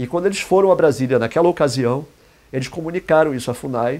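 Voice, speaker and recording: This man's voice sits at a fairly high pitch and has a dark, mellow tone. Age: 60s. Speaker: indigenist and therapist. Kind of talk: talk in an interview format. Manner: halting, with repetitions.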